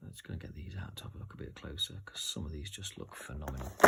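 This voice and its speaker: There is noticeable background noise. A man is talking. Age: 40s. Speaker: tabletop game reviewer. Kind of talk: unboxing video. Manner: animated.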